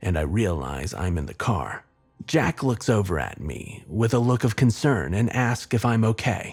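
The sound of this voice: Read in an unforced reading voice, the speech has lively intonation.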